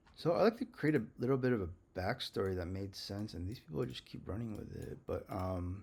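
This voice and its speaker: Pitched fairly low, a man talks at a fairly quick pace with lively intonation and big swings in loudness. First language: not English. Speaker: legal self-litigant. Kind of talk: casual screen-share commentary. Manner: hesitant, many fillers.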